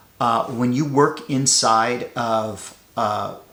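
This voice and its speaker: This man talks at a medium pitch with a bright, sharp tone. His intonation stays fairly even. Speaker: podcaster on AI and work. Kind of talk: casual monologue. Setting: home studio. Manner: hesitant, many fillers and restarts.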